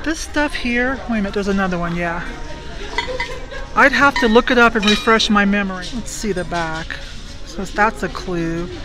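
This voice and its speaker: A woman is speaking. Clear music plays behind her. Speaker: reseller thrifting for items to resell. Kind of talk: casual vlog chat. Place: shop. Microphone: phone near.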